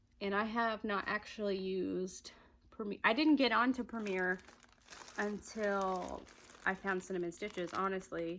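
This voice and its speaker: Here a woman speaks with a Southern US accent at a medium pitch. Her pace is moderate and her intonation fairly even. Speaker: crochet vlogger. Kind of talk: casual chat. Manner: casual, hesitant with fillers.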